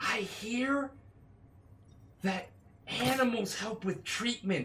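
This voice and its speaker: This is a put-on character voice with a fairly high pitch. It moves at a very slow pace. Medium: actual play. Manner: earnest, over-eager.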